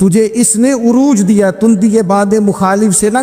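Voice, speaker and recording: Music in the background behind a man's high voice with fairly even intonation. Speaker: Islamic preacher. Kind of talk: Islamic sermon (bayan) with storytelling. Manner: emotive, preaching.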